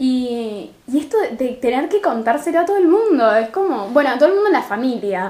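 A woman with a Rosario accent talks at a fairly quick pace and a high pitch, her voice making very wide pitch swings. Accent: Rosario Argentine Spanish, drops r and s. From Argentina, Rosario. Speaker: podcast co-host. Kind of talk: casual chat.

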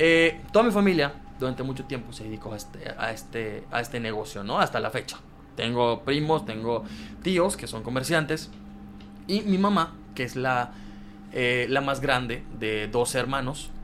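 A man speaks at a fairly slow pace in a medium pitch, over noticeable background noise. His tone is animated and his intonation lively. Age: 20s. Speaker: content creator and comedian. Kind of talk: casual chat.

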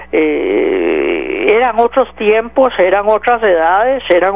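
A man's voice amid noticeable background noise. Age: 40s. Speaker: radio host. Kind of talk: political talk radio commentary.

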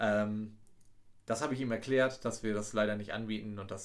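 A man's fairly low, monotone voice at a fairly quick pace, with audible room echo. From East Frisia, northern Germany. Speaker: tourism office employee, podcast co-host. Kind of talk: casual chat.

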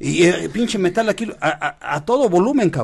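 The speaker's intonation is lively. The pace is moderate. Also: man. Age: 50s. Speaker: podcast co-host, host's father. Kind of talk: casual chat.

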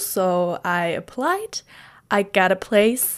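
Her pitch swings very widely as a woman speaks with a German accent. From southern Germany. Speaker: podcaster. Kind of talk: casual monologue. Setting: home recording in bedroom.

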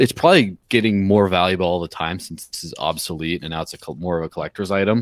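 Speaking at a very fast pace with hardly any pauses, a man with a very deep, low pitch shows ordinary pitch variation and big swings in loudness, in a very clean recording with a silent background and a dry, close sound with no echo. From Mexico. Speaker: crypto outreach director. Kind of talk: podcast interview.

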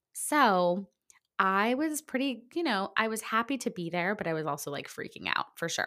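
With an American accent, the speaker's voice has a bright, sharp tone and very wide pitch swings at a moderate pace. The recording is very clean, with a silent background. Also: woman, medium pitch for a woman. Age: 40s. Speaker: podcast host. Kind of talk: casual solo podcast monologue. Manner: chatty with fillers.

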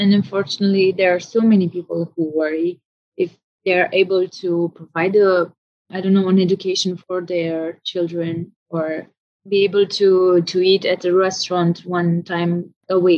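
With a Romanian accent, a woman talks at a moderate pace at a medium pitch. Her intonation is monotone and flat. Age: 20s. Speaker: orchestral oboist. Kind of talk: interview conversation. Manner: halting, many fillers and repetitions.

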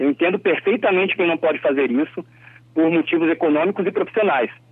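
Talking at a fairly quick pace, a man has a plain, everyday voice with a fairly high pitch and ordinary pitch variation. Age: 30s. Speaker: political commentator. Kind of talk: radio commentary.

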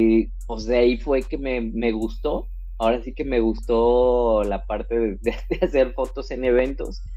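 With music in the background and audible room echo, a man speaks at a fairly slow pace. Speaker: wedding photographer. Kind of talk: casual interview. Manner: hesitant, many fillers.

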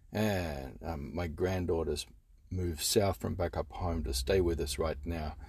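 Weary in tone, a man talks fairly slowly with vocal fry, his very deep, low pitch showing ordinary variation. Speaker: film reviewer. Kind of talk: angry rant. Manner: animated, sarcastic, fired-up tirade with profane swearing; sighing, weary and exasperated, rambling with filler words.

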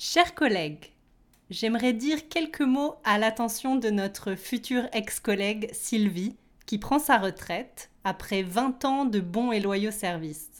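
The recording is very clean, with a silent background. A woman with a fairly high pitch speaks very slowly. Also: lively intonation. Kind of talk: toast speech at a retirement party, read aloud as a language-lesson example. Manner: polite, formal and clear, evenly paced.

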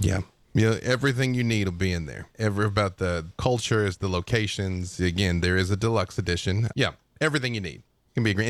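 A normal speaking voice with an American accent talks at a fairly quick pace with ordinary pitch variation. The recording is very clean, with a silent background. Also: man. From US South, Arkansas. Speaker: game writer. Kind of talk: casual chat.

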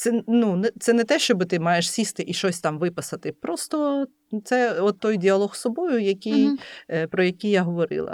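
Delivered at a moderate pace with lively intonation and very even loudness, a normal speaking voice sounds dry and close with no echo. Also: woman, medium pitch for a woman. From Lviv, western Ukraine. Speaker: entrepreneur and food blogger. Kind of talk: interview.

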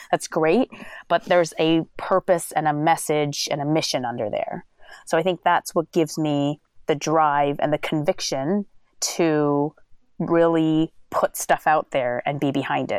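With an American accent, the speaker talks at a fairly slow pace with ordinary pitch variation, in a dry, close sound with no echo on a very clean recording with a silent background. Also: woman, very deep, low pitch for a woman. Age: 30s. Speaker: calligrapher and creative entrepreneur. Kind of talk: casual interview.

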